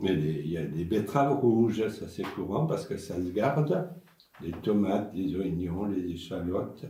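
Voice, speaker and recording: A man speaks fairly slowly with a fairly low pitch, lively intonation and a somewhat breathy, dark, mellow tone. Room echo is audible. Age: 80s+. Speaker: senior talking with children. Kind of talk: intergenerational conversation.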